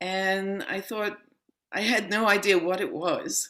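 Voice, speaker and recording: A woman with a New York accent and ordinary pitch variation. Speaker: yoga and meditation teacher. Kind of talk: interview.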